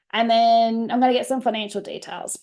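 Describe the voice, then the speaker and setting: A woman speaks with an Australian accent at a fairly high pitch. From Australia, Queensland supporter born in New South Wales. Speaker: family lawyer and webinar presenter. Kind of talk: webinar presentation. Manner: fast; casual, filler-heavy.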